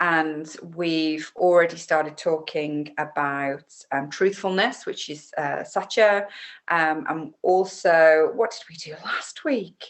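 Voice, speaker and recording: In an English Midlands accent, a woman talks at a very slow pace. Her voice is fairly low. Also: ordinary pitch variation, big swings in loudness. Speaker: yoga teacher. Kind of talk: casual instructional talk. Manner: relaxed with many fillers.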